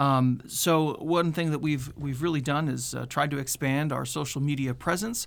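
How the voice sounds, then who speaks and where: A man with an American accent speaks in a plain, everyday voice at a fairly high pitch, with fairly even intonation. His pace is moderate with hardly any pauses, on a very clean recording with a silent background. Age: 30s. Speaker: public safety communications administrator, former TV reporter. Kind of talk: radio interview. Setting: radio studio.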